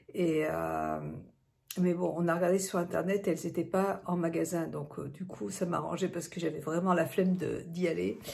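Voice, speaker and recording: With vocal fry and a fairly low pitch, a woman speaks at a moderate pace and with fairly even intonation amid audible room echo. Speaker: vlogger. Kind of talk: vlog. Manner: hesitant, many fillers; quiet.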